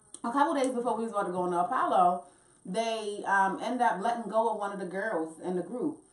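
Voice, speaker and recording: Audible room echo follows a woman who talks at a very fast pace. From Baltimore, US. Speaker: singer and reality TV personality. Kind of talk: casual chat. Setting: studio. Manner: animated. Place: studio.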